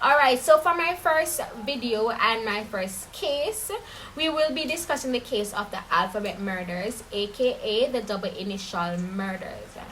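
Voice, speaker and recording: Through noticeable background noise, a woman with a Caribbean accent and a fairly high pitch sounds animated, her voice making very wide pitch swings at a fairly slow pace. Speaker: true crime YouTuber. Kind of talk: casual storytelling.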